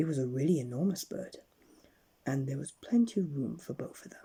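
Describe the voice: A husky, rough-edged voice with a dark, mellow tone and vocal fry, at a moderate pace with ordinary pitch variation.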